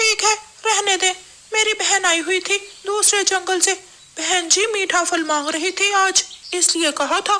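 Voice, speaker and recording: In a cartoonish character voice, a man speaks at an extremely high pitch. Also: moderate pace. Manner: nervous.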